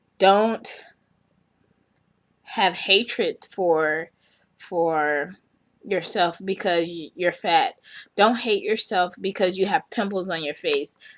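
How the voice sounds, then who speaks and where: On a very clean recording with a silent background, a woman speaks at a very slow pace with long, frequent pauses, a medium pitch and ordinary pitch variation. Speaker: vlogger. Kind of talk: motivational talk to camera. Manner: loud.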